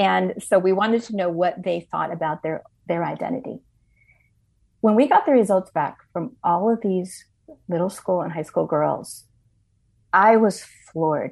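Over a quiet background, a woman with a medium-pitched voice speaks at a moderate pace with ordinary pitch variation and long, frequent pauses. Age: 60s. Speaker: ministry leader, author and speaker. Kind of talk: interview testimony.

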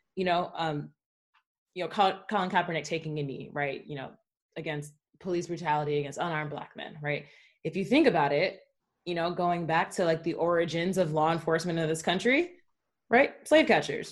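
An ordinary speaking voice, a woman with an American accent, fairly low in pitch, at a fairly quick pace with ordinary pitch variation. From United States, Nigerian American. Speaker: college soccer coach. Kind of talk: casual discussion.

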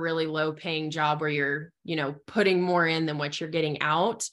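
Set against a quiet background, an unremarkable speaking voice carries fairly even intonation. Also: woman. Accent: American. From US Southwest, southeastern Arizona. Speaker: small business owner. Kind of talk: interview.

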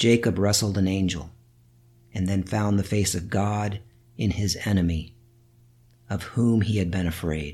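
A man speaks at a fairly slow pace with long, frequent pauses and fairly even intonation. His somewhat breathy voice has a dark, mellow tone and a fairly low pitch. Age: 50s. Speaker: podcast host, Bible study teacher. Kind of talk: reflective monologue.

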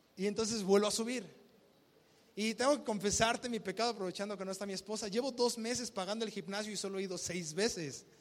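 An animated man at a very fast pace and a high pitch. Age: 20s. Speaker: pastor. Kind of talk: sermon.

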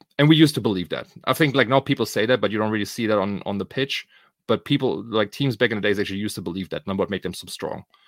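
Speaking very fast with a German accent, a man comes through in a dry, close sound with no echo on a very clean recording with a silent background. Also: fairly low pitch for a man, ordinary pitch variation. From Germany. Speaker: podcast host. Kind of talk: casual podcast chat.

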